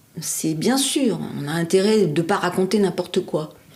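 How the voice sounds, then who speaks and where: Words come from this woman very slowly. Her pitch sits in the middle range. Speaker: former trainer and teacher in professional training. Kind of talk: interview answer.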